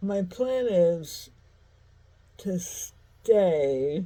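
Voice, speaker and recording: Somewhat breathy and dark, mellow in tone, a woman speaks in a fairly low pitch with an American accent. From US Midwest, St. Louis. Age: 60s. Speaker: vlogger. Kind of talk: casual monologue. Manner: halting, many fillers.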